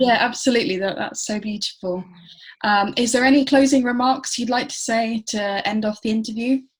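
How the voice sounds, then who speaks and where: A woman's fairly high voice with an English accent, fairly even in intonation and fairly quick in pace. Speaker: interviewer. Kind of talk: interview.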